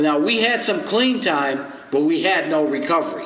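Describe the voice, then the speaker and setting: A man with a New York accent speaks at a moderate pace, his pitch swinging very widely. Noticeable background noise runs underneath. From New York, the Bronx. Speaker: recovery circuit speaker. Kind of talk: recovery meeting speaker share. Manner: humorous storytelling.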